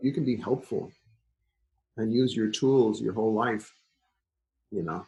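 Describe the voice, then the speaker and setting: A man's somewhat breathy, dark, mellow voice at medium pitch, with ordinary pitch variation, a fairly slow pace and long, frequent pauses. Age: 60s. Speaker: folk musician. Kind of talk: interview.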